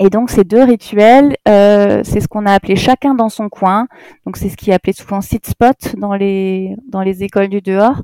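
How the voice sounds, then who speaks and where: With a dry, close sound and no echo, a woman speaks fairly slowly in a medium-pitched, dark, mellow tone with fairly even intonation. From Alsace, Strasbourg suburbs. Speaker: primary school teacher and headteacher. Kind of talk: casual interview chat.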